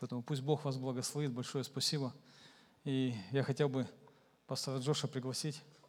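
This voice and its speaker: A man's medium-pitched, monotone, flat voice at a very fast pace, broken by long, frequent pauses. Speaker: pastor. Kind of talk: sermon. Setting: church.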